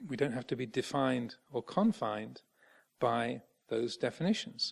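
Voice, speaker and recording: A man speaks with an English accent. The background is quiet. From England. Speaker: Buddhist monk; Buddhist monk teacher. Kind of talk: dharma talk. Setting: monastery. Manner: halting. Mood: calm, warm.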